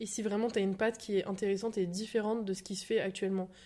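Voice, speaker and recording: This woman talks at a very fast pace in a dark, mellow tone, her intonation monotone and flat. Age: 20s. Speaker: shop owner. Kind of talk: casual chat.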